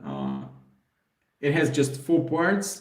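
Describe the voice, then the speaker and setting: Audible room echo surrounds a man with a fairly high voice. His tone is dark and mellow, and somewhat breathy. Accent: Russian. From Belarus. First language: Russian. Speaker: puzzle YouTuber. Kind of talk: live stream Q&A. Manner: hesitant, many fillers.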